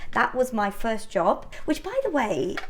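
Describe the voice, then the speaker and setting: Against noticeable background noise, a woman talks with very wide pitch swings. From northern England. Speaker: home baking vlogger. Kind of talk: casual cooking vlog chat. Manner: chatty, conversational with fillers.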